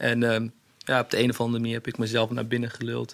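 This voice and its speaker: A man's voice at a medium pitch. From Netherlands, Hasselt near Zwolle. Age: 30s. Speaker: fashion designer. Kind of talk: interview.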